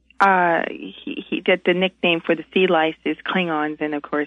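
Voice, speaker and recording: In an unremarkable speaking voice, a woman talks at a fairly low pitch with lively intonation. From Montreal, Canada. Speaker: caller. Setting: phone call.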